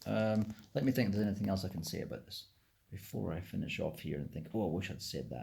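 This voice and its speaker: A man's very fast speech at a fairly low pitch, with vocal fry. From South Africa. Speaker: video blogger. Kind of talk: casual monologue. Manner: halting, many fillers and restarts.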